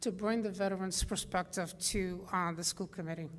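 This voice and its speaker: A woman speaks in a non-native accent. Her pace is moderate. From immigrant, came to US at age nine. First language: not English. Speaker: school committee candidate. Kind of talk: candidates forum debate.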